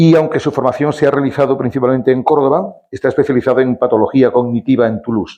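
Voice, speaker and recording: Moving at a fairly quick pace, a man speaks in a dark, mellow tone at a medium pitch. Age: 60s. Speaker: event presenter at a veterans' club. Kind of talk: speaker introduction at a talk. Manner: reading a long bio from notes.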